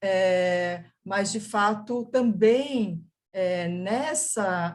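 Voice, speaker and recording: Somewhat breathy, the woman's voice has a medium pitch. Her intonation is lively. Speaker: museum professional. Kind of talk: panel discussion answer.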